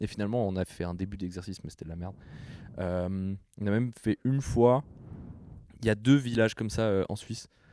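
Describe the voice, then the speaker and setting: Fairly quick speech from a man with a fairly low pitch, a dark, mellow tone and ordinary pitch variation, dry and close with no echo. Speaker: podcast co-host. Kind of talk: casual chat. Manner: animated.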